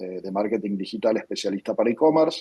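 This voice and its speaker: Dark and mellow in tone, a man speaks with an Argentine accent. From Argentina. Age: 40s. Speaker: tech company founder and CEO. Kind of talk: interview. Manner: frequent hesitations and repetitions.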